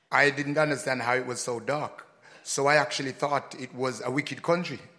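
A man talks at a fairly quick pace with a fairly high pitch. His intonation stays fairly even, and noticeable background noise is present. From Jamaica. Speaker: reggae musician. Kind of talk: live interview before an audience. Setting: stage with audience.

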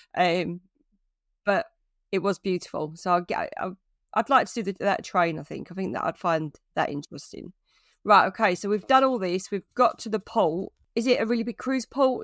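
A woman with a British accent at medium pitch, lively intonation, moderate pace and long, frequent pauses, in a very clean recording with a silent background and a dry, close sound with no echo. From Britain. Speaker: travel blogger and podcast co-host. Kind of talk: casual chat.

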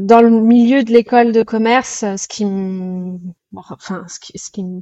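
A woman's voice with fairly even intonation. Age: 30s. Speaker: chef and restaurant owner. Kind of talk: interview. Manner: hesitant, many fillers.

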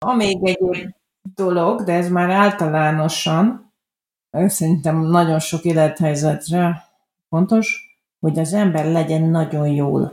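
The woman's pitch is fairly low and her intonation fairly even. She talks at a very slow pace. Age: 40s. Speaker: journalist and adoption blogger. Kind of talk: interview.

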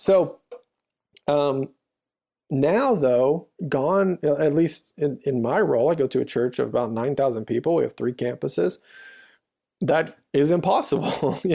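A man with an American accent and a dark, mellow, fairly high-pitched voice speaks at a fairly slow pace with long, frequent pauses. His loudness stays very even on a very clean recording with a silent background. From US South, Louisiana. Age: 30s. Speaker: church storyteller. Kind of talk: interview. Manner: halting.

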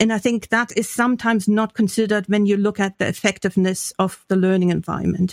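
A woman with a German accent at a very fast pace, hardly any pauses, monotone flat intonation and very even loudness, in a very clean, silent recording with dry, close sound and no echo. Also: medium pitch for a woman. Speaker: professor and podcast co-host. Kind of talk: casual academic discussion.

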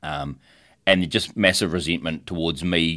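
Here a man speaks with a New Zealand accent and a very deep, low pitch. The recording is very clean, with a silent background. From New Zealand, Tauranga area. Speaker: dive shop owner. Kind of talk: interview. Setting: studio.

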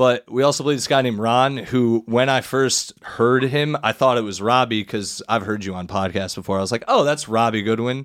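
A man's normal speaking voice, medium in pitch with ordinary pitch variation, at a moderate pace with hardly any pauses, on a very clean recording with a silent background. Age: 30s. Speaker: comedian. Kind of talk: casual chat.

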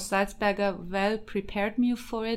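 A woman with a German accent at a fairly slow pace, on a very clean recording with a silent background. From Germany and Austria. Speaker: political scientist, PhD candidate. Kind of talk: casual interview.

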